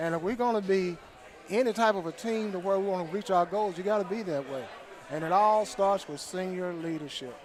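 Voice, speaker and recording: Noticeable background noise sits behind a man with a high pitch. He speaks at a fairly quick pace with ordinary pitch variation. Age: 60s. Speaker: football sideline volunteer. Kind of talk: pep talk to players. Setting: live show at a restaurant.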